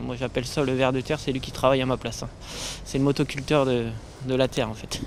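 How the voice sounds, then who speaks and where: Against noticeable background noise, a man speaks very fast at a medium pitch. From northeastern France. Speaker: permaculture association founder. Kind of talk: interview. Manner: hesitant.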